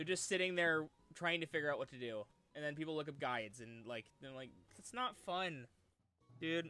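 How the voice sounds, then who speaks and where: A man's fairly high voice at a moderate pace, with lively intonation, big swings in loudness, long and frequent pauses, and music in the background. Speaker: streamer. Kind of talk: casual chat.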